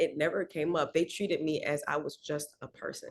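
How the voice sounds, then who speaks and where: She speaks with an American accent. The voice is a woman's. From Miami, Florida. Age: 30s. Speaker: singer. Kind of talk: casual interview chat.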